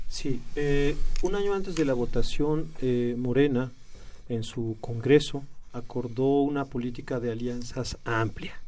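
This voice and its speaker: Speaking at a fairly slow pace, a man uses a medium pitch and ordinary pitch variation. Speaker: left-wing political activist. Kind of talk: radio interview. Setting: studio. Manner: hesitant, many fillers.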